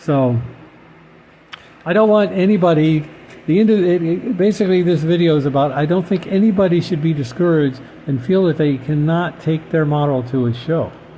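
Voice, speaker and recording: This man's voice sits fairly high for a man, with ordinary pitch variation and very even loudness. Noticeable background noise runs under it. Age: 60s. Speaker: scale model car hobbyist vlogger. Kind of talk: casual monologue. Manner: halting, many fillers and repeats.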